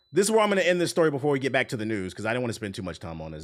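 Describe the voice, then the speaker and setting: Very wide pitch swings over music in the background. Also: man. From Washington DC. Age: 30s. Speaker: gaming streamer. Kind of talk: live stream chat. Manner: casual, filler-heavy.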